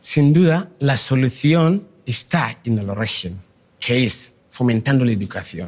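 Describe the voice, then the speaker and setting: In an ordinary speaking voice, a man talks at a fairly slow pace with lively intonation. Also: medium pitch for a man. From Ghana. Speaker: migrant and education charity founder.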